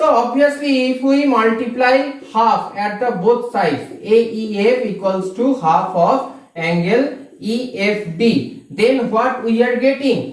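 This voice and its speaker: The speech moves at a very slow pace with hardly any pauses. Noticeable background noise sits behind it. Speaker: math teacher. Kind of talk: tutorial.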